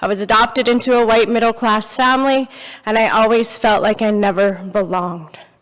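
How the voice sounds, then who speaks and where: A woman speaks at a fairly quick pace, her pitch fairly high. Noticeable background noise is present. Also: very even loudness. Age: 40s. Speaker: speaker sharing life story. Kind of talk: testimony. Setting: church. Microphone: handheld microphone given after audibility problems.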